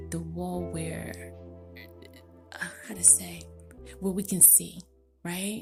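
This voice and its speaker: A woman whispering over music in the background. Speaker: spiritual commentator. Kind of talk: casual spiritual monologue. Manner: whispered.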